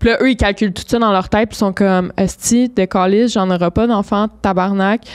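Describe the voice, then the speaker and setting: A woman with a Quebec accent talks at a moderate pace and fairly even intonation against a quiet background. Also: hardly any pauses. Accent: Québécois French. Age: 20s. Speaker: entrepreneur and single mother; podcast guest. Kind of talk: casual chat. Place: studio. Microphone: studio mic.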